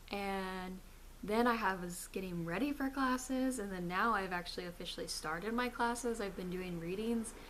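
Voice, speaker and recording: A woman speaks at medium pitch and a moderate pace. Her pitch varies in an ordinary way, and the room echo is audible. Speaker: video blogger. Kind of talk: casual vlog. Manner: animated.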